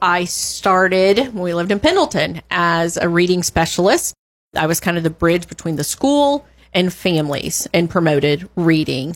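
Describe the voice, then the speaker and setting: On a very clean recording with a silent background, a woman with a plain, everyday voice and fairly low pitch speaks at a moderate pace with lively intonation. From Georgia, US South. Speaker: school principal. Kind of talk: faith testimony interview.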